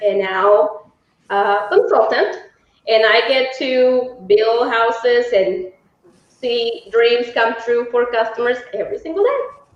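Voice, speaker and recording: Audible room echo surrounds a woman with a Mexican accent who speaks fairly slowly at a high pitch. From Mexico. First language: Spanish. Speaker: home sales consultant. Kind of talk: live webinar presentation.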